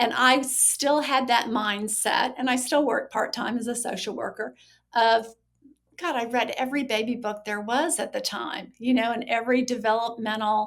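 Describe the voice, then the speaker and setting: A woman has an unremarkable speaking voice, fairly high in pitch. She talks at a moderate pace with fairly even intonation. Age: 60s. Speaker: social worker and recovery author. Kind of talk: podcast interview.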